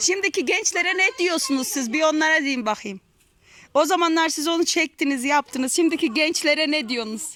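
The speaker's tone is bright and sharp, with lively intonation and a moderate pace. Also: woman, extremely high pitch for a woman. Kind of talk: casual interview questions.

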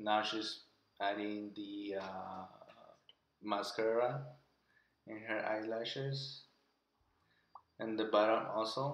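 Speaking at a very slow pace, a man with a non-native accent uses ordinary pitch variation. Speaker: husband doing comedic voice over. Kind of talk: improvised makeup tutorial narration. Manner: hesitant, halting.

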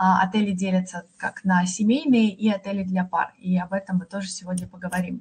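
A somewhat breathy woman speaks at a fairly quick pace with hardly any pauses and fairly even intonation. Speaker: hotel chain representative; presenter. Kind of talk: sales presentation. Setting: online webinar. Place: home room. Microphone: video call.

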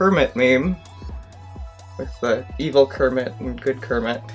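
A woman speaks over faint music in the background. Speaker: video blogger. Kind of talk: commentary on memes. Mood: wry, critical. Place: home room.

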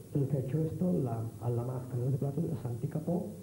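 Noticeable background noise runs behind a man speaking at a moderate pace with ordinary pitch variation. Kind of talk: interview answer. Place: stage. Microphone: handheld.

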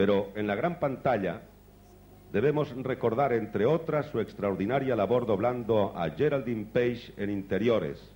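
With a dark, mellow tone and lively intonation, a man talks at a moderate pace. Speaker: awards presenter. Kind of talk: award ceremony introduction. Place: stage. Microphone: handheld.

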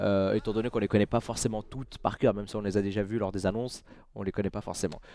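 The voice has a dark, mellow tone and moves at a very fast pace, with a dry sound and no echo. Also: man, fairly low pitch for a man. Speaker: gaming YouTuber and streamer; gaming YouTuber, streamer. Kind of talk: casual booster-opening commentary. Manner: animated. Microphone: headset.

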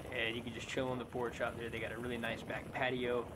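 Background noise is noticeable throughout. The speaker is a man. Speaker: wheel rider vlogger. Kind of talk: casual vlog chat. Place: open country.

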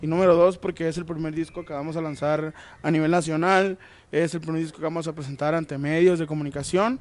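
A very fast man's voice, fairly high in pitch, with ordinary pitch variation. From Sinaloa, Mexico. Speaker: musician in a regional Mexican band. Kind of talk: interview, casual chat. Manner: halting with many fillers. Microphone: handheld.

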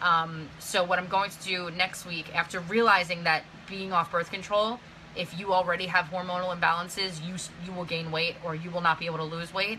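A woman's fairly low, monotone voice with flat intonation and big swings in loudness, over light background noise. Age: 30s. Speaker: vlogger. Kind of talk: casual chat. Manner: casual, filler-heavy. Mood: earnest, somewhat frustrated. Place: home room. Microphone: phone near.

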